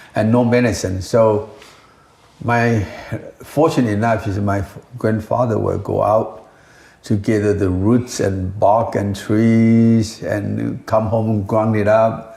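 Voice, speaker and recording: Audible room echo surrounds a man speaking at a very slow pace. His fairly low voice keeps a fairly even intonation. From Taiwan. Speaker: company founder and herbal scientist. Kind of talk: interview.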